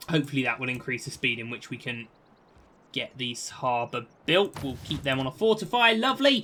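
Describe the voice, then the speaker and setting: A man with a British accent speaks at a moderate pace, his medium-pitched voice carrying lively intonation. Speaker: video game streamer. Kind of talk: gameplay commentary. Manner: casual, chatty.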